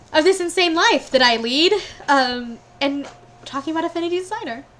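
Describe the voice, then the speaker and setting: Over noticeable background noise, a woman with an American accent talks at a fairly quick pace in an extremely high pitch with lively intonation. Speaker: sewing tutorial youtuber. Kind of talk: live stream chat.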